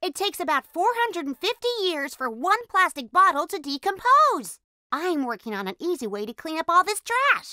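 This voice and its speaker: A woman's cartoonish character voice, extremely high-pitched, with very wide pitch swings at a moderate pace, in a dry, close sound with no echo. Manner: excited, explanatory.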